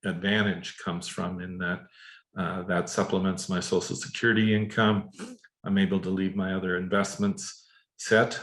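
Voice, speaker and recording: At a moderate pace, a man speaks in a fairly low voice with monotone, flat intonation. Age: 60s. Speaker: real estate investor, former financial services worker. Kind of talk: interview. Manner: halting, many fillers.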